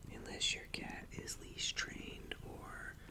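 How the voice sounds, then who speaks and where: A man whispering in a calm tone over noticeable background noise. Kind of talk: ASMR-style soft talking to camera. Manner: soft-spoken, calm.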